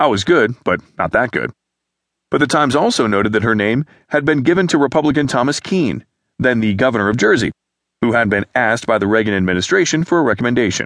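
Speaking at a very fast pace, a man with medium pitch and lively intonation keeps his loudness very even, in a dry, close sound with no echo and a quiet background. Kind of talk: news reading. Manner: formal, even-paced newsreader delivery.

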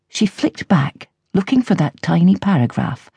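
A woman with a dark, mellow tone and vocal fry speaks at a fairly slow pace, her pitch swinging very widely. The sound is dry and close, with no echo. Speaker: audiobook narrator. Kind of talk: audiobook narration of a novel, with a dry, wry mock-eulogy passage.

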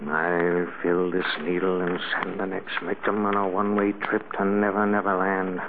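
Mumbling in a put-on character voice with a very deep, low pitch, a man talks at a moderate pace with hardly any pauses amid noticeable background noise.

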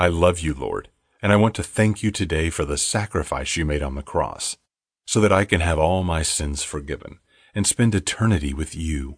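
Against a quiet background, a man with a very deep, low pitch and a somewhat breathy voice speaks at a moderate pace with ordinary pitch variation. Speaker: audiobook narrator. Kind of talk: fervent prayer, reading scripture affirmations aloud. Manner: earnest, devout, sincere; measured, reverent pacing.

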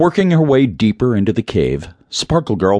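The plain reading aloud carries lively intonation.

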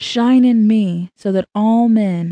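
The voice has a dark, mellow tone, is somewhat breathy, and sounds dry and close with no echo. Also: woman. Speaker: audiobook narrator. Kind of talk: fervent prayer in rhyming verse, read aloud. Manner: earnest, devout, pleading.

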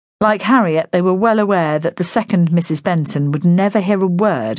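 A woman with a British accent speaks at a fairly low pitch. Her intonation is lively and her pace moderate. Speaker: audiobook narrator. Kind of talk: dramatic audiobook narration, with character voices. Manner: gentle, consoling tone for the neighbour's lines.

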